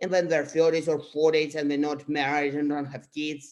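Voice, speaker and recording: The speaker has a Russian accent. The background is quiet. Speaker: astrology youtuber. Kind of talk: casual explainer monologue. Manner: halting, many fillers.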